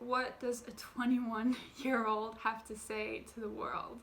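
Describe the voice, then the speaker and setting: There is audible room echo as a woman speaks at a high pitch and a fairly slow pace. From France. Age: 20s. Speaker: YouTuber. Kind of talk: personal vlog.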